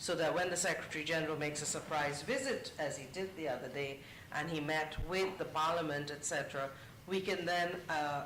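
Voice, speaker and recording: Amid noticeable background noise and audible room echo, a man with a fairly high voice talks at a fairly quick pace with ordinary pitch variation. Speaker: UN media official. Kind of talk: panel discussion. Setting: conference panel with audience.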